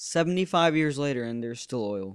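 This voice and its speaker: A man speaks with an American accent at medium pitch. The recording is very clean, with a silent background. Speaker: YouTuber. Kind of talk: tribute video monologue. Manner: halting, many fillers.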